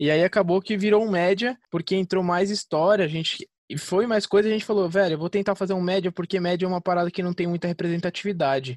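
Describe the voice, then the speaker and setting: A man talks at a very fast pace in a high pitch. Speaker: independent film director. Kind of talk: casual interview.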